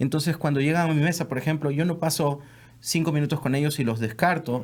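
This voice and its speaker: The speaker has a plain, everyday voice. Delivery is fairly quick, with fairly even intonation. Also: man. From South America. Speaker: mortgage lender. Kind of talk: casual podcast chat.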